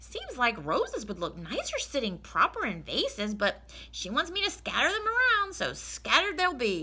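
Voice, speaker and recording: Someone uses a put-on character voice at a moderate pace over light background noise. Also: woman, high pitch for a woman. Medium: read story. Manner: folksy, earnest.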